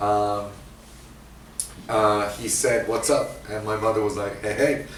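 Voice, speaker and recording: A man with an American accent speaks at a fairly slow pace, somewhat breathy and flat in intonation. Room echo is audible. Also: fairly low pitch for a man. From international upbringing, Asia, Africa, Scotland, US, Japan, Australia. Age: 40s. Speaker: guest speaker. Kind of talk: sermon testimony. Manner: halting, many fillers.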